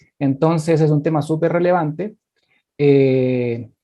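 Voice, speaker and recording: Dark, mellow tone from a man, fairly high in pitch, with ordinary pitch variation. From Chile. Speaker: business strategy consultant. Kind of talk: webinar presentation.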